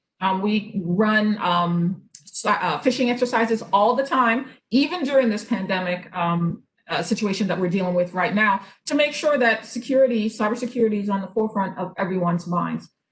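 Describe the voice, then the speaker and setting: A somewhat breathy, fairly high woman's voice with ordinary pitch variation. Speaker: state government cybersecurity official. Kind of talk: presentation. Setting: video call. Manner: fast; hesitant fillers.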